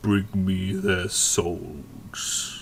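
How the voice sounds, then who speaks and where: A man puts on a booming character voice at a very deep, low pitch, with clear background noise behind him. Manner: commanding.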